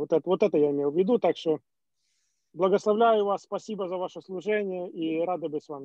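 At a fairly quick pace, a man with a high pitch and ordinary pitch variation speaks against a quiet background, the sound dry with no echo. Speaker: church member. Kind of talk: question to pastor. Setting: video call. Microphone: video call.

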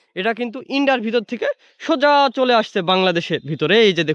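A man's high-pitched voice with lively intonation, dry and close with no echo, on a very clean recording with a silent background. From Bangladesh. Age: 20s. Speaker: travel vlogger. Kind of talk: vlog narration. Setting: outdoors. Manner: halting, many filler words.

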